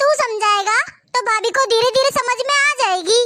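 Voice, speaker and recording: Putting on a character voice with an extremely high pitch, a woman speaks at a moderate pace with ordinary pitch variation and very even loudness. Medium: comedy sketch.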